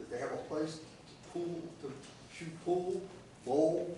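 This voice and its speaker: Noticeable background noise and audible room echo surround a man whose voice sits fairly high. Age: 80s+. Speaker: local resident addressing county commission. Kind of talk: public comment at meeting. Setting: county commission meeting. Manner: halting.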